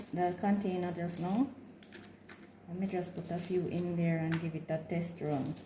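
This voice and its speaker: Her voice is fairly low, with fairly even intonation and long, frequent pauses from this woman. The room echo is audible. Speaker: home gardener vlogger. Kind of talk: tutorial. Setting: at home, early morning. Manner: soft-spoken.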